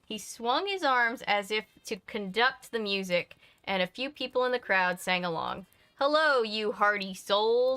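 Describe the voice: Lively intonation in plain reading aloud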